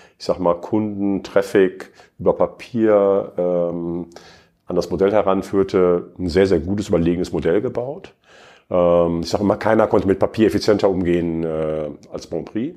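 A man's very deep, low voice with a dark, mellow tone, fairly even intonation and a fairly slow pace against a quiet background. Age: 50s. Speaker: e-commerce executive. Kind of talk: interview. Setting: studio.

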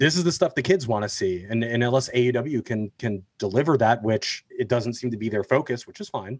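A man with an unremarkable speaking voice talks at a fairly quick pace with hardly any pauses. His pitch is medium with ordinary variation, and the sound is dry and close with no echo. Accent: American. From New Jersey. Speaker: podcast guest, wrestling fan. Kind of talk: casual chat.

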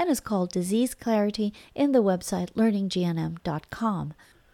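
In a very clean recording with a silent background, a woman speaks at a medium pitch and a moderate pace in a dark, mellow tone. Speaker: podcast host and alternative health practitioner. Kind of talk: podcast intro and outro narration.

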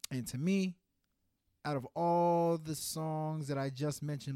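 Against a very clean recording with a silent background, a man with an East Coast US accent speaks at a fairly slow pace in a dark, mellow tone. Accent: East Coast American, heard as New York-like. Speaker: podcast co-host. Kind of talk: casual chat.

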